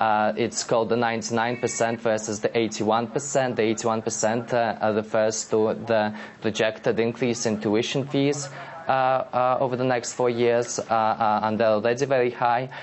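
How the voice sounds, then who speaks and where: Over noticeable background noise, a man with a medium pitch talks at a moderate pace in a monotone, flat intonation, with very even loudness and hardly any pauses. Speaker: blogger. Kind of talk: live TV interview answer. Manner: hesitant, stammering with many pauses.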